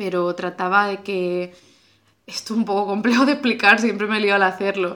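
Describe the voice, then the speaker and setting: Bright and sharp in tone, a woman's medium-pitched voice keeps a fairly even intonation. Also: moderate pace. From Andalusia, Spain (Cádiz province). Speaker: podcast host. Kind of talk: casual conversation. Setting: at the guest's home.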